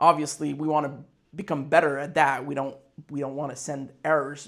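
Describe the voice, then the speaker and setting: The recording is very clean, with a silent background. A man speaks with a French Canadian accent. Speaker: business owner, fightwear brand founder. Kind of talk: casual business vlog. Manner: halting, many fillers and repetitions.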